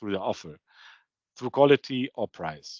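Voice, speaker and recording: Over a quiet background, a man talks fairly quickly at a medium pitch, the sound dry and close with no echo. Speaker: procurement consultant presenting. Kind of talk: webinar presentation.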